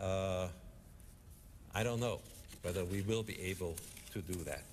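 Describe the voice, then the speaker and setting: A man with a fairly low pitch and vocal fry speaks at a fairly slow pace amid audible room echo. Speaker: economist panelist. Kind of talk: conference speech.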